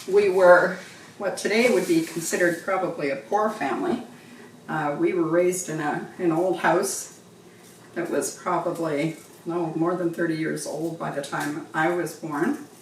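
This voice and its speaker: A woman's fairly low voice at a moderate pace, with ordinary pitch variation, audible room echo and noticeable background noise. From western Canada (Golden, British Columbia). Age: 70s. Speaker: cooking channel host. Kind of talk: casual cooking tutorial with personal stories.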